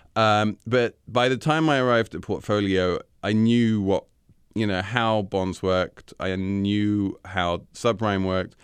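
In an English accent, a man with a fairly low pitch and ordinary pitch variation speaks over a quiet background. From England. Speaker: financial journalist, senior editor. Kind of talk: interview.

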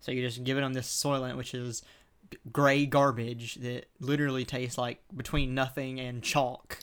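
The speaker is a man with an American accent and a medium pitch. His intonation is monotone and flat. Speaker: podcast co-host. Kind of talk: casual chat. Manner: fast.

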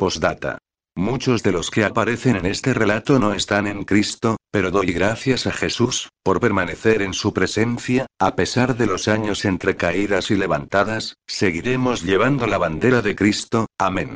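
With hardly any pauses, a man speaks at a fairly slow pace in a fairly low pitch, with ordinary pitch variation. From Lima, Peru. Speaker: radio host and author. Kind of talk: testimony; reading aloud.

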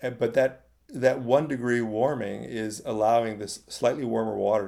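Here is a man with an American accent. His tone is dark and mellow. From California, Silicon Valley. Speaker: journalist and author. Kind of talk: interview. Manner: halting, many fillers.

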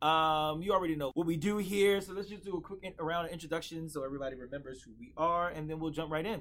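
Delivered in an American accent, this is an unremarkable speaking voice. It moves at a fairly quick pace with lively intonation. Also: man. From North Philadelphia, US. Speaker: podcast host and stage actor. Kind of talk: casual roundtable chat; scripted intro.

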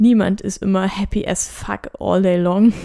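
Calm in tone, a woman at medium pitch with a dark, mellow tone speaks at a very slow pace in a monotone, flat intonation. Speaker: midwife and podcast host. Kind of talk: solo podcast monologue.

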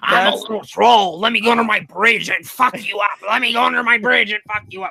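A put-on character voice comes at a fairly quick pace with fairly high pitch. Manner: menacing, growly.

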